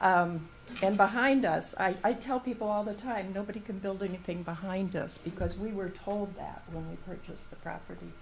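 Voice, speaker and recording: Her medium-pitched voice carries vocal fry and ordinary pitch variation as a woman speaks amid audible room echo. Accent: American. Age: 70s. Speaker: retired resident speaking at public comment. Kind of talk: public comment at meeting.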